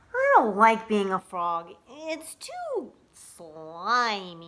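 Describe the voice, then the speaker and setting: A woman's put-on character voice at a medium pitch. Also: very slow pace. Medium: read story. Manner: whiny, wishful.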